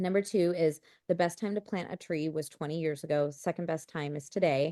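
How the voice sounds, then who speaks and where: A woman with an American accent speaks in an ordinary speaking voice at a fairly quick pace, her fairly low pitch and fairly even intonation heard in a dry, close sound with no echo against a quiet background. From US Midwest, Chicago. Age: 30s. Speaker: real estate investor. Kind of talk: podcast interview.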